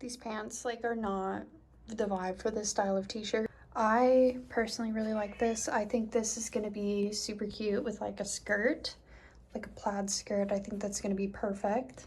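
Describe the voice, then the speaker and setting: With an ordinary speaking voice, a woman talks at a moderate pace, her pitch fairly high and her intonation fairly even. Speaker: small fashion business owner. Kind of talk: casual vlog narration. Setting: home bathroom. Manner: casual, filler-heavy.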